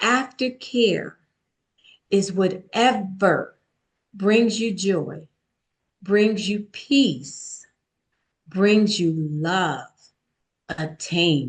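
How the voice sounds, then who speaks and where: A woman speaks at a medium pitch and a very slow pace. Her voice is somewhat breathy, with lively intonation. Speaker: author and speaker. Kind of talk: podcast interview.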